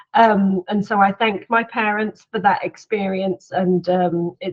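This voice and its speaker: Monotone, flat intonation comes from a woman with a British accent. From UK. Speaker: head of product marketing. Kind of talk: conference talk.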